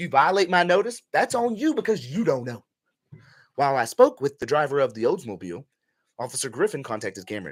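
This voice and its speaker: A man with vocal fry and a fairly high pitch speaks at a fairly quick pace. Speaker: right-to-travel activist discussing his own case. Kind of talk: reading and commenting on a police report. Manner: casual, conversational.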